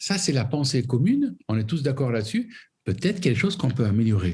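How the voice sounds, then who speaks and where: A man speaks at a fairly high pitch with a somewhat breathy voice and very wide pitch swings. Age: 60s. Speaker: foundation president. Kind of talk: interview. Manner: halting.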